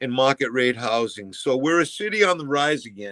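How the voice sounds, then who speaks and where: An unremarkable speaking voice from a man, medium in pitch, with ordinary pitch variation, a moderate pace and a dry, close sound with no echo. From Massachusetts, Fall River. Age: 60s. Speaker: former teacher and school board member. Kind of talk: interview.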